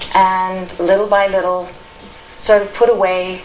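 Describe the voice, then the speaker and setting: Audible room echo and noticeable background noise surround a woman speaking at medium pitch with an American accent. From California. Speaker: spirit release therapist. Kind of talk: talk to an audience. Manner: unscripted, with fillers.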